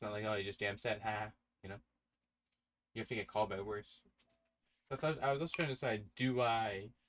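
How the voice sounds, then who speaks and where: A man with a fairly low pitch talks at a very fast pace yet takes long, frequent pauses. His pitch varies in an ordinary way. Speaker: online poker streamer. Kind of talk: live stream commentary while playing. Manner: stuttering, halting; casual, thinking aloud.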